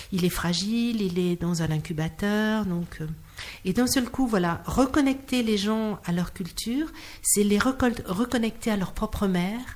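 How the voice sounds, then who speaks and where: A woman with a slight Auvergne accent talks at a fairly slow pace and a fairly high pitch. Her voice is somewhat breathy, with ordinary pitch variation. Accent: slight Clermont-Ferrand (Auvergne). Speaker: clown and singer. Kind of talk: interview. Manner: halting, with repetitions.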